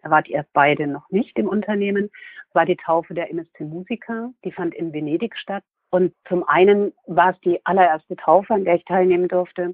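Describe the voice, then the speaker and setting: Using a normal speaking voice, a woman holds a medium pitch and a moderate pace, her pitch varying in an ordinary way. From Hesse/Franconia, Germany. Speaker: cruise company sales employee. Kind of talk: interview.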